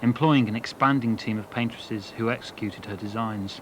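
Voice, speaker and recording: A man rattles off words very fast, his medium pitch showing ordinary pitch variation, with noticeable background noise around him. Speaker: design historian. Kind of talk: documentary narration.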